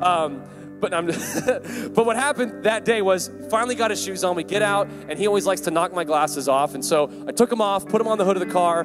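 A man talks rather quickly while music plays clearly behind him. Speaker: preacher. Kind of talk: sermon. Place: hall. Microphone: handheld.

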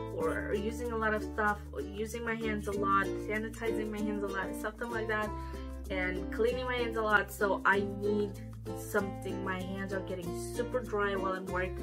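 A woman talks at a moderate speed with clear music behind her. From Romania. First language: Romanian. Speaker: beauty vlogger. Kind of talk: casual talk to camera. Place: home room. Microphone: camera far.

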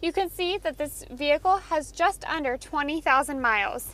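A woman speaks at a high pitch with ordinary pitch variation. The sound is dry, with no echo. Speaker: car sales product specialist. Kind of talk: sales walkthrough. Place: car. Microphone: phone near.

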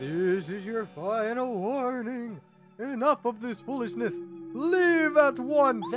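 In a put-on character voice pitched fairly high, the speaker goes at a fairly slow pace while faint music plays in the background. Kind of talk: comic overacting. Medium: virtual streamer. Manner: pompous, indignant, comically blustering.

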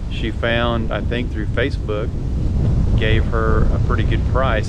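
There is loud background noise behind this man's voice. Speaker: vlogger. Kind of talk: casual vlog chat. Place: open country. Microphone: phone near.

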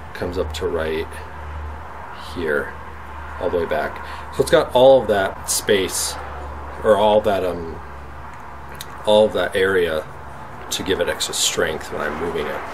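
Against noticeable background noise, a man talks at a fairly slow pace with long, frequent pauses. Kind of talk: casual vlog chat. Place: workshop. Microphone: phone near.

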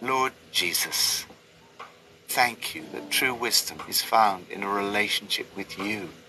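At a fairly slow pace, a man with a fairly low voice speaks with ordinary pitch variation and big swings in loudness over noticeable background noise. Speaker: Bible study narrator. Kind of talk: scripted devotional reading with prayers.

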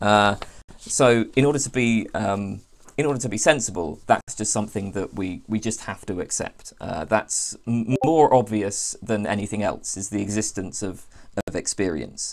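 Amid noticeable background noise, a man speaks at a moderate pace. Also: fairly low pitch for a man, ordinary pitch variation. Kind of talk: discussion of a philosophy text. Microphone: video call.

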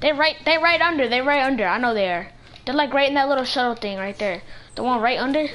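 A woman talks at a very fast pace with a high pitch. Her intonation is lively. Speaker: gaming YouTuber. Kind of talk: gameplay commentary. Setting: online game voice chat. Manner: animated. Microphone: headset.

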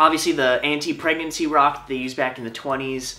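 A man races along at a very fast pace while faint music plays in the background. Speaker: travel vlogger. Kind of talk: casual vlog chat. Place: home room. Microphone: camera far.

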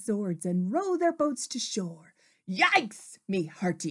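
Natural-voiced reading aloud, quiet background behind it

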